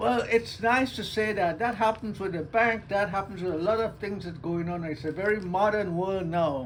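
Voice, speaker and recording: Over noticeable background noise, a man with an American accent speaks at a moderate pace and high pitch, with ordinary pitch variation and hardly any pauses. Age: 80s+. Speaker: retiree. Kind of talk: interview answer.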